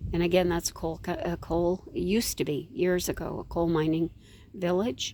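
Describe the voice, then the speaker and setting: With a Maritime Canadian accent, a woman talks at a moderate pace in a dark, mellow tone. Her pitch is fairly low and varies in an ordinary way. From Canada, New Brunswick. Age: 70s. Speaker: vlogger grandmother. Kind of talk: casual vlog chat. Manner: rambling, halting.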